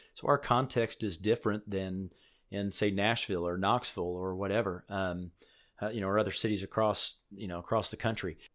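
A normal speaking voice, a man's fairly low pitch, an American accent, fairly even intonation and a fairly quick pace, in a very clean recording with a silent background. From Illinois. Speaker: student pastor. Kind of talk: interview.

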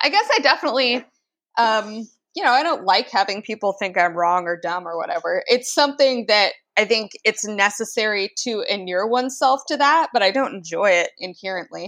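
Using an ordinary speaking voice, a woman talks at a fairly quick pace with lively intonation and a fairly high pitch. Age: 20s. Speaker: writer and indie publisher. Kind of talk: casual chat.

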